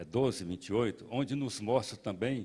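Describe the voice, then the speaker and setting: Speaking at a moderate pace, a man with a medium pitch uses lively intonation on a very clean recording with a silent background. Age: 60s. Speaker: pastor. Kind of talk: sermon. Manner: halting.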